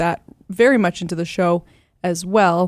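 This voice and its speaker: A woman talks at a moderate pace in an animated, upbeat tone with ordinary pitch variation, in a dry, close sound with no echo and a very clean recording over a silent background. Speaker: radio host. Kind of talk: recorded anniversary greeting, personal story.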